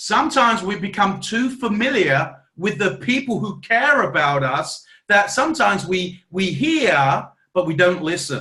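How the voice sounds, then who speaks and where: A man speaks at a fairly slow pace in a raised, projected voice that is high and bright with a sharp edge. His tone is animated and his pitch swings very widely. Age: 40s. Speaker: network marketing team trainer. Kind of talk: team training talk.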